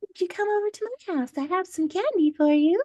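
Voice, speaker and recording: Someone does a put-on character voice at an extremely high pitch. The pace is fairly quick. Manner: creepy, sweetly menacing.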